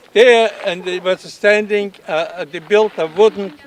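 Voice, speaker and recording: The man's voice is high in pitch and his pace fairly slow. The sound is dry and close with no echo, though noticeable background noise comes through. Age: 90s. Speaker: former internee giving a tour. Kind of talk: guided site tour. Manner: halting.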